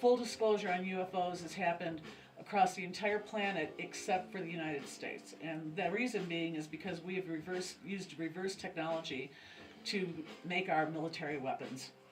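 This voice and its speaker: Audible room echo surrounds a woman's voice. She speaks fairly quickly at a fairly low pitch. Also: ordinary pitch variation. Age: 60s. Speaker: pagan high priestess. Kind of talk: interview. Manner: halting.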